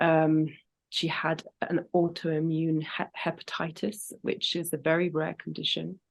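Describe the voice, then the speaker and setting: In a British accent, a woman with a fairly low pitch speaks at a fairly slow pace in a monotone, flat intonation, with a quiet background. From Britain. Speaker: singer and grief educator. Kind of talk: interview.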